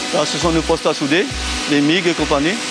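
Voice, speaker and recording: A man's voice with music in the background. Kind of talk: interview answer. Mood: calm, modest. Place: workshop. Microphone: lapel.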